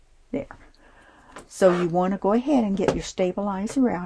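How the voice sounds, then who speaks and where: A woman talks at a medium pitch in a dark, mellow tone that is somewhat breathy, with ordinary pitch variation. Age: 70s. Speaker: sewing and embroidery tutorial maker. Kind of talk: tutorial. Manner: casual, halting with fillers.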